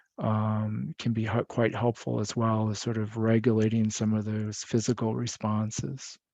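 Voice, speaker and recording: Speaking with an American accent, the voice has monotone, flat intonation and a calm, soothing, dark, mellow tone. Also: man, fairly low pitch for a man, moderate pace. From Michigan. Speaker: psychiatrist presenter. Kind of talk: lecture.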